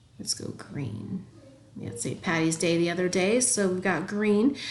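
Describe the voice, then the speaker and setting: The room's echo is audible. The speaker is a woman. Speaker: math teacher. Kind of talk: tutorial.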